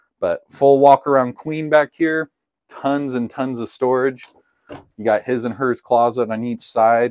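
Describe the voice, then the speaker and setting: A man talks at a fairly slow pace with fairly even intonation. The sound is dry, with no echo and a quiet background. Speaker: RV salesman. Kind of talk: product walkthrough tour. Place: home room. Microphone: camera far.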